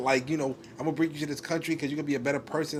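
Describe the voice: A man speaks at a medium pitch. Audible room echo surrounds his voice.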